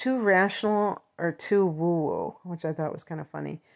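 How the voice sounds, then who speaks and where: A woman with a Chicago accent at a moderate pace, ordinary pitch variation, and a very clean recording with a silent background. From Chicago suburbs, US Midwest. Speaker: astrologer. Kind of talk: astrology talk to camera. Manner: hesitant, many fillers.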